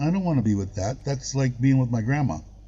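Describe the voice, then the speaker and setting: A somewhat breathy man speaks at a fairly quick pace with lively intonation. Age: 60s. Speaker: expat living in Thailand, live-stream host. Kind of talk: casual chat on a live stream.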